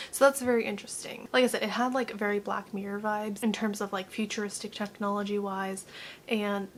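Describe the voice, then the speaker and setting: A woman speaks quietly at a medium pitch and a fairly quick pace. Her intonation is fairly even. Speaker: youtube reaction host. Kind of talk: casual reaction commentary. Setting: at home, mother in next room. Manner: quiet, low volume.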